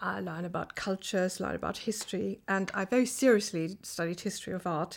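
Heard on a very clean recording with a silent background, a woman with a German accent speaks at a moderate pace with ordinary pitch variation. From Germany, Rhineland-Palatinate (Kaiserslautern). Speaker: professor. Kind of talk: interview.

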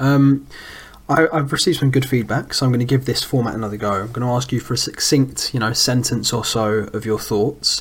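Noticeable background noise sits behind a man who talks at a fairly quick pace with a medium pitch and ordinary pitch variation. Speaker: podcast host. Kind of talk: casual football podcast chat.

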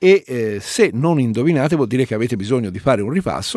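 With very wide pitch swings around a medium pitch, a man speaks in a dry, close sound with no echo, recorded very cleanly against a silent background. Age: 50s. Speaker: radio host. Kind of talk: radio talk show.

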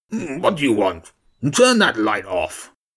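In a put-on character voice, a man sounds gruff and raspy at a fairly slow pace. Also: medium pitch for a man. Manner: menacing, curt.

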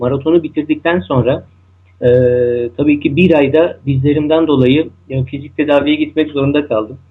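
At a moderate pace, a man talks with fairly even intonation in a fairly high voice. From Turkey, Istanbul. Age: 30s. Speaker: ultramarathon runner. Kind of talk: interview. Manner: hesitant, many fillers.

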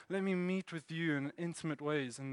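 A high-pitched man with a South African accent and a bright, sharp tone, dry and close with no echo, against a quiet background. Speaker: church elder and preacher. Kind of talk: sermon. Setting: church.

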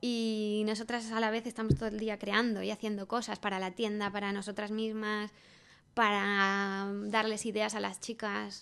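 A woman's monotone, flat delivery at a moderate pace over a quiet background. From Spain, Salamanca. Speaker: craft designer and shop owner. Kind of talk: interview. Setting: in a shop with customers.

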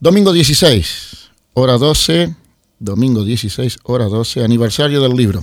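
This man talks at a very slow pace, his pitch medium. His intonation is lively. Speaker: radio host. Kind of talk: radio show presenting.

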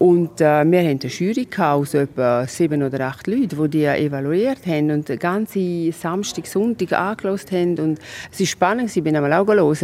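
Speaking in a very deep, low pitch, a woman talks at a moderate pace with ordinary pitch variation. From Switzerland, Graubünden. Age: 50s. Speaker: orchestra board president and lawyer. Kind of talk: interview. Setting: outdoors in castle courtyard.

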